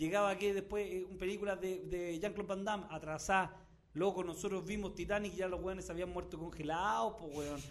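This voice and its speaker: A man talks at a fairly quick pace in a high voice with a Chilean accent. Audible room echo surrounds his speech. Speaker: comedian and podcast host. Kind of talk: casual comedic chat. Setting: studio.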